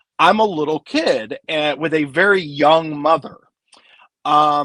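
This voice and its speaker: The voice is a plain, everyday voice with an American accent and lively intonation. The sound is dry and close, with no echo. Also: man. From Kansas (Wichita). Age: 40s. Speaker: film author. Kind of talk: casual chat.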